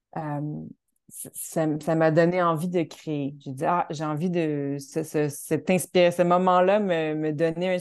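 In a Quebec accent, a woman talks with a fairly low pitch and fairly even intonation against a quiet background. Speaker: choreographer and dancer. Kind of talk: interview. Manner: halting, many repetitions.

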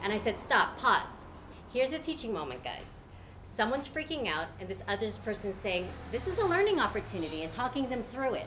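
A woman talks at a fairly quick pace with a fairly high pitch and very wide pitch swings. Room echo is audible. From Canada, Filipino immigrant family. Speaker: educator running an alternative school. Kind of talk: talk to a live audience.

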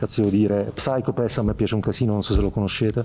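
A man speaks at a fairly low pitch. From Apulia, Italy (Bitonto near Bari). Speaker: meme creator. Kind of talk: casual chat.

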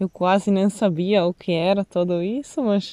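In an Italian accent, a woman talks at a very slow pace. Her pitch sits in the medium range. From Italy, Venice. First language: Italian (speaking Portuguese). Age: 30s. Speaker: nomadic woman sharing life experience. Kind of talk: interview. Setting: outdoors by a lake.

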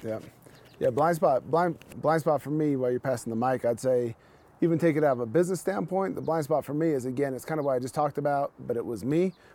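Talking at a very fast pace, a man with an American accent has a dark, mellow tone, a fairly high pitch and ordinary pitch variation. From Salt Lake City, Utah. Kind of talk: casual chat. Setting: outdoors.

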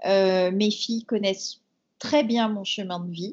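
A woman speaks in a somewhat breathy voice. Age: 40s. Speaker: entrepreneur. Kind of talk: interview. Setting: remote call.

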